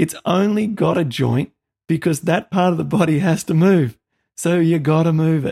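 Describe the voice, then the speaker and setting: Recorded with a dry, close sound and no echo, a man with an Australian accent speaks at a moderate pace in a high pitch with a dark, mellow tone. His loudness stays very even, and his pitch varies in an ordinary way. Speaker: podcast host. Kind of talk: interview.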